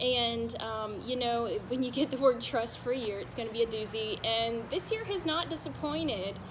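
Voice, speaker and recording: Noticeable background noise sits under a speaker with a Southern US accent talking at a moderate pace. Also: woman. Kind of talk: personal faith testimony to camera. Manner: soft-spoken, gentle.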